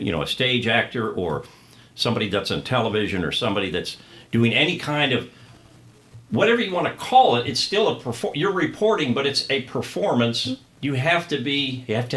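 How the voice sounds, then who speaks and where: A man at a medium pitch, lively in intonation and fairly quick in pace, over noticeable background noise. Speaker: stadium PA announcer. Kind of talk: interview answer.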